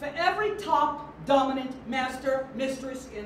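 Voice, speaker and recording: A high-pitched woman's voice with an American accent, fairly slow and lively in intonation, over noticeable background noise. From New York City. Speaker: auctioneer. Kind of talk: keynote speech.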